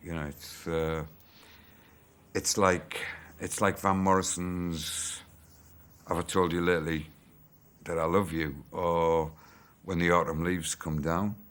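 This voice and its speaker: In a Teesside accent, a man speaks in a flat monotone at a very deep, low pitch. His pace is fairly slow, with long, frequent pauses. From Middlesbrough, England. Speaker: rock musician. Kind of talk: interview answer.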